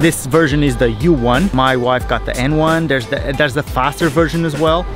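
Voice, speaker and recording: With clear music in the background, a man speaks with hardly any pauses and ordinary pitch variation. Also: dry sound with no echo. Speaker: vlogger. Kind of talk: casual vlog chat, product review. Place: garden. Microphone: phone near.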